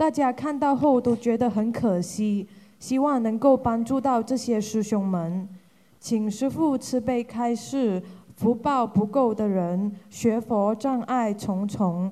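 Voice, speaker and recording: A woman with a fairly high voice and a dark, mellow tone speaks at a very slow pace, her pitch varying in an ordinary way. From Hong Kong. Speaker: group representative asking questions. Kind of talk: formal questions.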